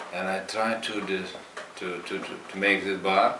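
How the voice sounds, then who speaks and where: Delivered at a fairly slow pace with a Lithuanian accent, the speech has monotone, flat intonation, audible room echo and noticeable background noise. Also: man. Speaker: meditation practitioner, former juice bar owner. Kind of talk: testimony. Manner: halting.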